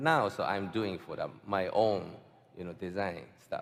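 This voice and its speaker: A man's fairly low voice moves along at a fairly slow pace. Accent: Japanese. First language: Japanese. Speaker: fine artist. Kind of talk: panel interview answer. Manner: hesitant, halting.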